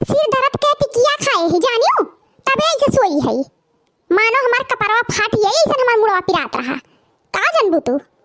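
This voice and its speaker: In a cartoonish character voice, a woman speaks at an extremely high pitch with very wide pitch swings at a moderate pace, the sound dry and close with no echo. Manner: boastful, know-it-all.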